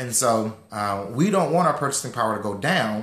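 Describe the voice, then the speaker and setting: Audible room echo surrounds a man talking at a very fast pace and medium pitch. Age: 30s. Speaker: financial educator. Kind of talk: online class.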